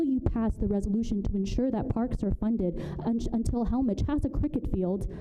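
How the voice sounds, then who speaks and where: A soft-spoken woman's very fast speech amid noticeable background noise and audible room echo. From Burma. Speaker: public commenter at city council. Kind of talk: public comment speech. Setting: city council meeting.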